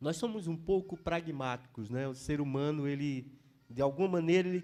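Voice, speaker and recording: A man talks in a Pernambuco accent with a dark, mellow tone. His intonation is lively. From Pernambuco, northeastern Brazil. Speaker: pastor. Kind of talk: sermon. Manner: halting, with frequent fillers.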